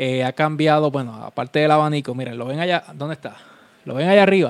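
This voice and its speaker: With a Puerto Rican accent, a man with a fairly high pitch speaks at a fairly quick pace with ordinary pitch variation in a dry, close sound with no echo. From Puerto Rico (Vega Baja). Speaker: DJ and podcast host. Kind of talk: casual solo live-stream chat. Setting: home room live stream on webcam.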